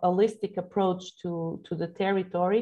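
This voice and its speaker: In a Portuguese accent, a woman speaks at a moderate pace with fairly low pitch. Her intonation is monotone and flat. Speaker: geopark representative. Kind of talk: Q&A at online conference. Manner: halting, many fillers.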